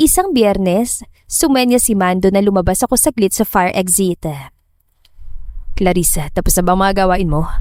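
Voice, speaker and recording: Pitch varies in an ordinary way as the speaker goes at a moderate pace. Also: woman. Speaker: story narrator. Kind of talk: narrated romance drama story.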